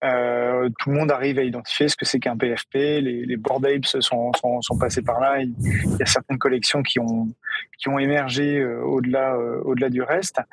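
A man at medium pitch speaks at a moderate pace in a monotone, flat way. The sound is dry and close with no echo. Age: 40s. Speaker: music tech startup CEO. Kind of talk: interview.

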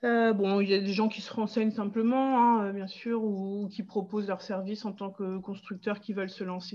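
Speaking at a fairly quick pace with hardly any pauses, a woman uses a medium pitch and fairly even intonation over noticeable background noise. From northern France, Pas-de-Calais. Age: 40s. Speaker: English teacher planning a tiny-house hamlet. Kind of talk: interview, casual chat.

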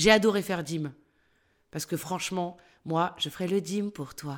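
The woman's intonation stays fairly even. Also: very clean recording, silent background. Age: 50s. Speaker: actress and voice-over artist. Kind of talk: interview. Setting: at her home.

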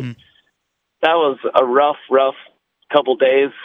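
A man's fairly high voice at a moderate pace, with fairly even intonation. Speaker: high school football coach. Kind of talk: radio interview. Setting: phone call.

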